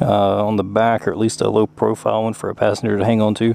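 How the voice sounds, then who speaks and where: Against noticeable background noise, a man speaks in a fairly low voice with a Southern US accent. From US South. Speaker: motorcycle YouTuber. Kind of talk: motorcycle review. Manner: casual, many fillers.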